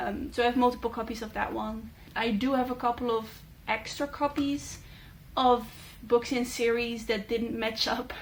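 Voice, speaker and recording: A woman's high-pitched voice with a Dutch accent and a flat, monotone delivery. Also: moderate pace. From Netherlands. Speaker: booktuber. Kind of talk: casual chat. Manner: hesitant, many fillers.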